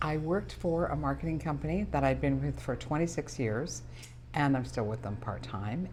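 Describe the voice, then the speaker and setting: With a Canadian prairie accent, a woman talks at a moderate pace against audible room echo and music in the background. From Canadian prairies, Saskatchewan. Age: 70s. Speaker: small business owner. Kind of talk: interview.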